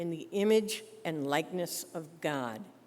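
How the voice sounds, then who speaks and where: A woman speaks at a very slow pace in a fairly low voice with ordinary pitch variation, and some room echo can be heard. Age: 70s. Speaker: minister. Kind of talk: sermon.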